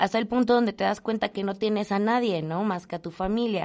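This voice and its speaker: Against a quiet background, a woman with medium pitch talks very fast with fairly even intonation. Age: 20s. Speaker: business association co-founder. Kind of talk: interview.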